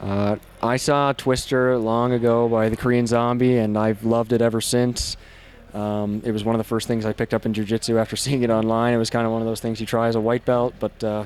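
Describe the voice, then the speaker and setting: Over music in the background, a man talks at a very fast pace and medium pitch in a monotone, flat intonation. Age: 20s. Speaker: MMA fighter. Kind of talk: post-fight interview.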